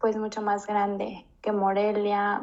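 Speaking at a very slow pace, a woman keeps to a medium pitch. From Mexico, Guanajuato (Moroleón). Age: 20s. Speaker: flight attendant. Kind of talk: casual chat.

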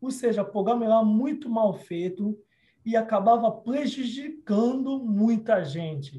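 This man's voice sits high for a man, with a dark, mellow tone, ordinary pitch variation and a fairly slow pace. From Democratic Republic of the Congo, Kinshasa. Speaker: lawyer. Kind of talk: interview.

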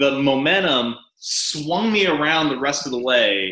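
With an American accent, a man speaks in a plain, everyday voice, his pitch fairly high and his intonation lively. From US South, rural Arkansas. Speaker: stand-up comedian. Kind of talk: casual chat.

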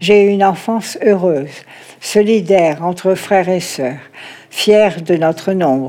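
Speaking at a fairly slow pace, a woman has a medium pitch and ordinary pitch variation. Noticeable background noise can be heard. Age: 80s+. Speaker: grandmother. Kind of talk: personal testimony. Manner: halting.

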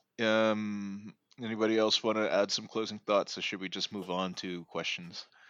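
Against a quiet background, a man speaks at a moderate pace in a fairly low, monotone voice with flat intonation. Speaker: podcast host. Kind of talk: casual chat about soccer. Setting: live podcast recording.

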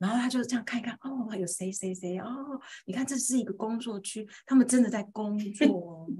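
Speaking in a normal speaking voice, a woman uses a fairly high pitch and ordinary pitch variation. She keeps a moderate pace with hardly any pauses. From Taiwan, rural Pingtung. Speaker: homeschooling mother and teacher. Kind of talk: interview storytelling.

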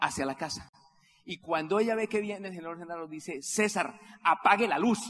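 Animated in tone, the speech goes at a fairly quick pace with ordinary pitch variation. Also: man. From Colombia, Santander (Simacota). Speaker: network marketing leader. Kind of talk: motivational convention speech.

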